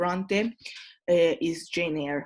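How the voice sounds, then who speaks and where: A woman's fairly low voice in an Italian accent, with fairly even intonation, on a very clean recording with a silent background. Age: 20s. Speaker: tutor. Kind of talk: lecture. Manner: halting.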